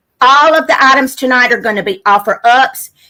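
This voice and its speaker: A loud woman speaks with a Louisiana accent in a bright, sharp tone, using ordinary pitch variation at a moderate pace. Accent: Southern US (Louisiana). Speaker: live sale host selling vintage items. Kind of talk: live online sale chat.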